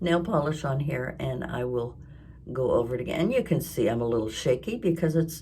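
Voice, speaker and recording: A woman's somewhat breathy, dark and mellow voice with lively intonation at a moderate pace. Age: 70s. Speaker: crafting and lifestyle vlogger. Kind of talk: casual talk to camera.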